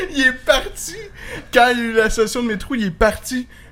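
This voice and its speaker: A Quebec accent comes through. The tempo stays moderate. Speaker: podcast co-host. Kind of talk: casual chat.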